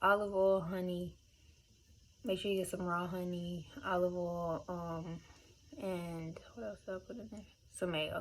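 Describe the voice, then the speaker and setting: Mumbling at a moderate pace, the speaker keeps the intonation fairly even. The loudness swings widely, and the pauses are long and frequent. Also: woman. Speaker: beauty vlogger. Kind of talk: casual tutorial. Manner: casual, filler-heavy.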